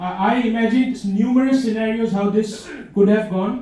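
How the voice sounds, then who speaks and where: Noticeable background noise and audible room echo around a man with ordinary pitch variation and a moderate pace. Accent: Indian. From India. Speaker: comedian. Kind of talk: stand-up. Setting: stage with audience. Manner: halting, many fillers and restarts.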